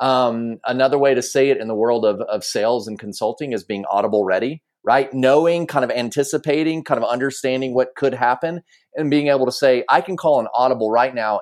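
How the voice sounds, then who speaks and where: With ordinary pitch variation, a man at a medium pitch talks at a fairly quick pace. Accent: Southern US. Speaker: podcast host. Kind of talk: casual conversation.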